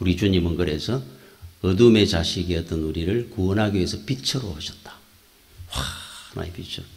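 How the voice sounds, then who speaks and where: A man speaks with lively intonation in a very deep, low pitch. The room has an audible echo and noticeable background noise. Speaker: pastor. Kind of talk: sermon.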